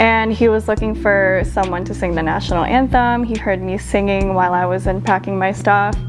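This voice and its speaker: Music plays in the background. A woman talks at a fairly quick pace. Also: hardly any pauses. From Philippines. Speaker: singer-songwriter. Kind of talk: interview answer. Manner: soft-spoken.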